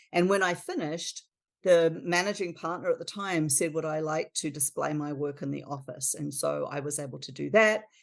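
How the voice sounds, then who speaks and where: Over a quiet background, a woman with a very deep, low pitch and vocal fry speaks in a New Zealand accent at a moderate pace with ordinary pitch variation. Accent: non-American, New Zealand. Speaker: architecture firm principal. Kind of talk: podcast interview.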